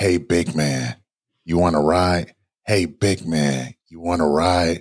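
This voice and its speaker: A man's put-on character voice, very deep and raspy, fairly slow, with fairly even intonation and big swings in loudness. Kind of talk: casual, friendly.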